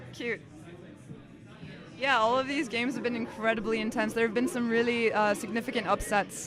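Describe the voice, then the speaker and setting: A woman's fairly high voice amid crowd noise in the background. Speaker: tournament commentator. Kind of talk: casual chat.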